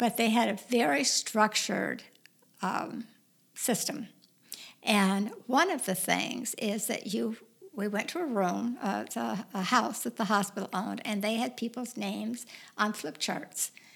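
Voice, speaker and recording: With ordinary pitch variation, a woman speaks with vocal fry. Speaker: widow sharing late husband's story. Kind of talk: casual interview, storytelling.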